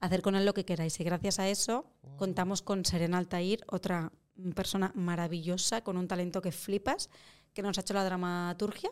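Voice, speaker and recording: An unremarkable speaking voice, this woman talks at a medium pitch and moderate pace with fairly even intonation on a very clean recording with a silent background. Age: 30s. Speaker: actress. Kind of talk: casual chat.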